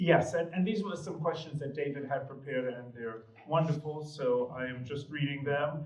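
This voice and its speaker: With an American accent, a man speaks at a moderate pace and fairly high pitch with hardly any pauses, amid noticeable background noise and audible room echo. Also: ordinary pitch variation. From New York. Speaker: panel moderator. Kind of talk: panel discussion. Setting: gallery with audience.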